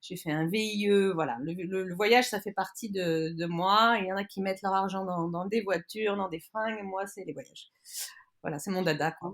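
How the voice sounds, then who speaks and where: With ordinary pitch movement, a woman talks in a medium-pitched voice. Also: moderate pace. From grew up abroad in expat family (Africa, Egypt, Turkey), then France. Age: 40s. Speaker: traveller. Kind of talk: interview. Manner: hesitant, many fillers.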